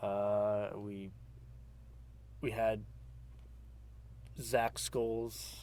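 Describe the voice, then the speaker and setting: The speaker is a man. Audible room echo is present. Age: 20s. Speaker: aspiring filmmaker. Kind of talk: casual interview. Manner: halting, many fillers.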